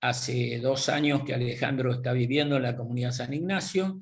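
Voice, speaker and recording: Male voice at mid pitch, normal pitch movement and average speed, room echo clearly audible. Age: 70s. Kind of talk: interview. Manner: halting.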